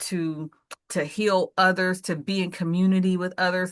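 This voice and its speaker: The pace is moderate. It is an ordinary speaking voice. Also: woman. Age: 50s. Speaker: author. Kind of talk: casual chat.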